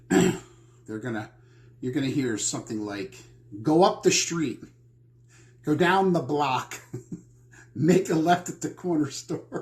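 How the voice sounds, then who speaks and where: A fairly high-pitched, somewhat breathy man at a very slow pace, with long, frequent pauses. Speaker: real estate agent. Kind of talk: casual talk to camera.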